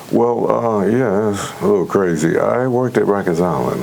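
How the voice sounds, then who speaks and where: A man with an American accent at a moderate pace, ordinary pitch variation, audible room echo and noticeable background noise. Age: 70s. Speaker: retired correctional officer and concert promoter. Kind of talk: interview. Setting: studio. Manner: hesitant, with many fillers.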